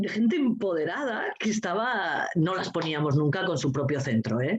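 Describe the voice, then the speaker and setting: An animated woman's voice at a medium pitch, with very wide pitch swings and a moderate pace. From Asturias, Spain. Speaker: teacher and coeducation trainer. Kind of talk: casual chat.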